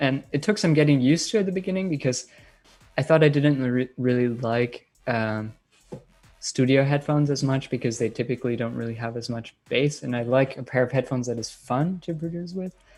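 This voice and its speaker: With music in the background, a man of medium pitch speaks at a moderate pace in a slight German accent. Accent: light German accent in English. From Germany, Bayreuth in Bavaria. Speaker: electronic music producer and DJ. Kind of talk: live-stream Q&A. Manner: casual, many filler words.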